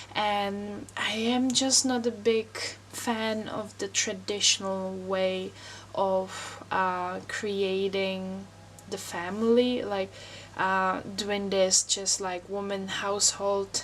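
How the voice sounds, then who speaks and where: A woman's fairly even intonation unfolds at a very slow pace. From Czech Republic. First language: Czech. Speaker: wellness vlogger. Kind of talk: personal vlog monologue. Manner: hesitant, many fillers.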